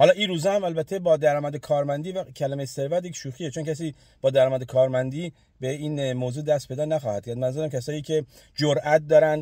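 Very fast speech from a man with a fairly high pitch, a dark, mellow tone and a somewhat breathy quality, fairly even intonation, a dry sound with no echo and a quiet background. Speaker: online business vlogger; online income vlogger. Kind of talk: motivational monologue to camera. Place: car. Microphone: phone near.

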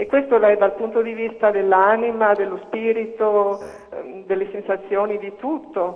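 A high-pitched man's voice at a fairly slow pace. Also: fairly even intonation. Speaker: caller, eye surgery patient; talk show guest. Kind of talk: phone-in testimony. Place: studio. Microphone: lapel.

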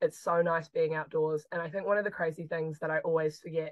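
A woman speaks in a New Zealand accent at a very fast pace. Her pitch is fairly low. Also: quiet background. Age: 20s. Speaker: chemistry PhD student. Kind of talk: interview conversation. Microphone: video call.

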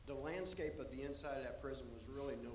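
A man speaks at a medium speed against noticeable background noise. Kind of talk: interview answer, storytelling. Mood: reflective, earnest. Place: stage. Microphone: handheld.

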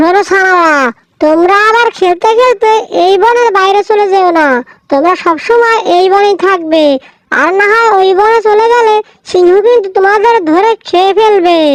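A woman speaks at a moderate pace in a cartoonish character voice, her pitch extremely high.

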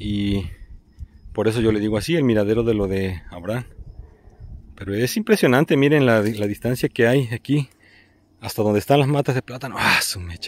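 The speech keeps a moderate pace with ordinary pitch variation. Long, frequent pauses break it up, and the sound is dry with no echo. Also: man. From Veracruz, Mexico. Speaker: vlogger. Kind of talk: outdoor vlog narration. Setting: outdoors. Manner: halting, repetitive. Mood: warm, appreciative. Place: open country. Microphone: phone near.

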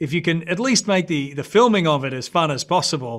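With an Australian accent, a man talks at a fairly high pitch and a fairly quick pace with lively intonation over a quiet background. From Brisbane, Australia. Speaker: actor. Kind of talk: interview answer. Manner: casual, relaxed. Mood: relaxed, reflective. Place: studio. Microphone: video call.

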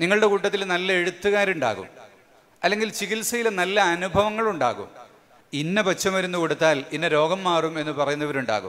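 Light background noise sits under a voice with ordinary pitch variation. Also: man, high pitch for a man. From Kerala, India. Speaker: Islamic scholar and event organizer; speaker. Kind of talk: speech to a religious gathering. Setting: large marquee gathering. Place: stage. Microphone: podium.

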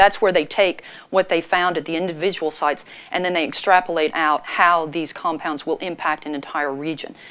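Her voice croaky yet fairly bright in tone, a woman talks at a fairly quick pace in a low pitch with fairly even intonation.

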